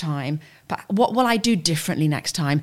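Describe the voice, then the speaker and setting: Recorded very cleanly against a silent background, a woman with a plain, everyday voice speaks at a moderate pace, her fairly low pitch carried by lively intonation. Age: 50s. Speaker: corporate executive. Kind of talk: casual chat.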